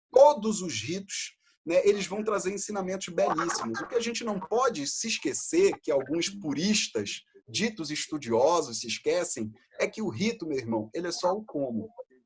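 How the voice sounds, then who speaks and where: With a Brazilian accent, a man talks at a high pitch and a moderate pace, his pitch swinging very widely. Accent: non-local Brazilian accent, noticeable. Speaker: freemason lecturer. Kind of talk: lecture.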